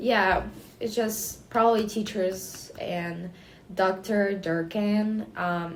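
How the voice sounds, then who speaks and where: A woman speaks very slowly with a slight Ukrainian accent at a medium pitch, her intonation fairly even, over noticeable background noise and audible room echo. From Ukraine. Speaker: student, interviewee. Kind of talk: interview. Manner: halting, many fillers.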